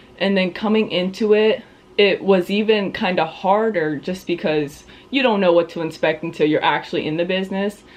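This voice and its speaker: At a moderate pace, a woman speaks in an unremarkable speaking voice of medium pitch with ordinary pitch variation. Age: 20s. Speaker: real estate agent, vlogger. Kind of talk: interview answers.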